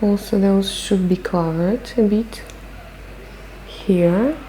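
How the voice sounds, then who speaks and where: A woman with a non-native accent at a very slow pace, ordinary pitch variation, and noticeable background noise. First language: not English. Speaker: makeup artist. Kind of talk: makeup tutorial. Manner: casual, conversational with hesitations.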